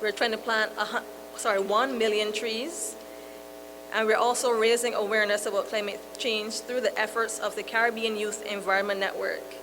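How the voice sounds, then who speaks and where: A woman speaks at a fairly high pitch and moderate pace, with fairly even intonation. Noticeable background noise is present. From Barbados. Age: 30s. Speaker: moderator, youth environmental activist. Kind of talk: panel moderation. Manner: halting.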